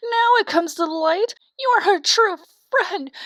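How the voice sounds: Doing a put-on character voice, a woman speaks at an extremely high pitch with lively intonation, in a dry, close sound with no echo. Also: fairly slow pace, fairly bright tone.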